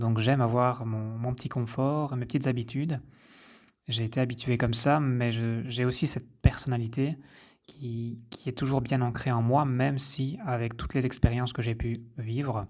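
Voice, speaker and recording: A medium-pitched man at a moderate pace, flat and monotone, on a very clean recording with a silent background. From French-speaking rural village. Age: 30s. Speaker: podcaster, health coach. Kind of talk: personal introduction monologue. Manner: hesitant, with fillers.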